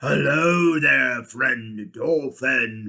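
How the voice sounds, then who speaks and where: A man bellows in a put-on character voice. His tone is raspy, at a medium pitch. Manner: roaring.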